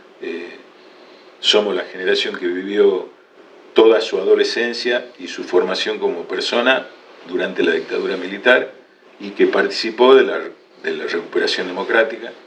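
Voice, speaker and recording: A man speaks at a moderate pace with long, frequent pauses and big swings in loudness. The room echo is audible and background noise is noticeable. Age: 60s. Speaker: lawyer and law lecturer. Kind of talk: interview. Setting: video podcast. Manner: hesitant, many fillers.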